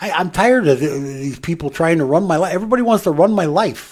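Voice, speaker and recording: A man's high-pitched, lively voice at a fairly quick pace on a very clean recording with a silent background. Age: 70s. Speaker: radio host. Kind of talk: casual chat. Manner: animated.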